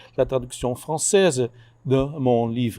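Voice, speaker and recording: Here a man talks at a very slow pace with ordinary pitch variation. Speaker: book author, labour historian. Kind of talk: formal speech at book launch. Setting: event with audience. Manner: halting, many hesitations and repeated words.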